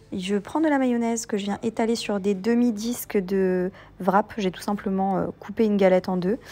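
With a dark, mellow tone, a woman speaks at a fairly high pitch. Her pace is moderate and her intonation fairly even. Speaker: cooking YouTuber. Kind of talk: cooking tutorial.

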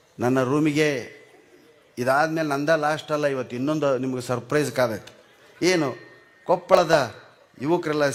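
Through noticeable background noise, a man speaks at a fairly high pitch with ordinary pitch variation. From North Karnataka, Gangavathi. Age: 60s. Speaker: comedian. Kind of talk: stand-up. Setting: stage with audience. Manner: animated.

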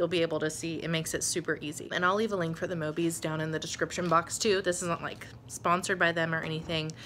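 With light background noise behind her, a woman speaks very fast with hardly any pauses, her pitch fairly low and her intonation fairly even. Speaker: stay-at-home mom vlogger. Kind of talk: casual vlog chat. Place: home room. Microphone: phone near.

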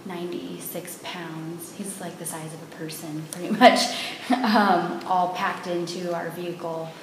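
Audible room echo and light background noise surround a woman with a fairly low pitch. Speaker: interview guest. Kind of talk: interview answer. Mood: cheerful storytelling. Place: home room. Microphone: camera far.

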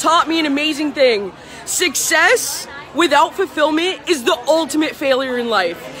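Crowd noise sits in the background as a woman speaks. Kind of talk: casual event talk to a live-stream audience. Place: bar.

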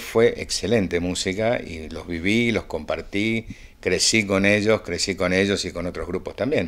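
Fairly low pitch, ordinary pitch variation and a moderate pace from a man. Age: 60s. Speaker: percussionist; interviewee. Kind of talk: interview. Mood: warm, reflective. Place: home room. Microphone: handheld.

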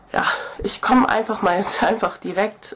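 With noticeable background noise behind her, a woman speaks at medium pitch and a moderate pace. Her tone is nervous and animated, with ordinary pitch variation. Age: 20s. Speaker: video blogger. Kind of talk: casual vlog monologue. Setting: video to camera. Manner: nervous, chatty, animated.

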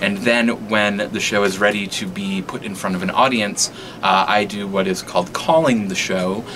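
Noticeable background noise sits behind a man with a fairly low pitch. He keeps a moderate pace with ordinary pitch variation. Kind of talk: interview answer. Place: stage.

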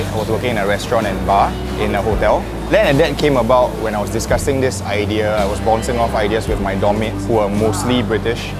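Clear music sits in the background while a man talks at a very fast pace. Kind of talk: interview answer. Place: market. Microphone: lapel.

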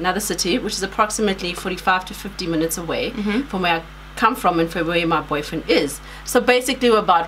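With ordinary pitch variation, the text is read aloud in a natural voice.

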